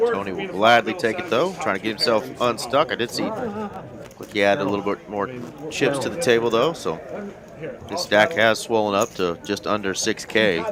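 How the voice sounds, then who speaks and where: Over music in the background, a man with a Southern US accent talks at medium pitch and a moderate pace with lively intonation. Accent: Southern American twang. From US South. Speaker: livestream poker commentator. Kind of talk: live poker commentary.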